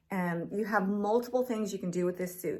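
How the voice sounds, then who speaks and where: A woman speaks in a plain, everyday voice at medium pitch with fairly even intonation. The recording is very clean, with a silent background. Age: 50s. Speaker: fitness vlogger. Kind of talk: product review. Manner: casual, filler-heavy.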